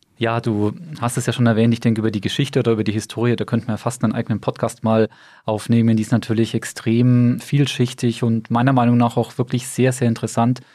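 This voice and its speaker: Very fast and monotone, a man speaks at medium pitch with a dark, mellow tone in a very clean recording over a silent background. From Bamberg, Franconia, Germany. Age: 40s. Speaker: company owner and managing director. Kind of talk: interview.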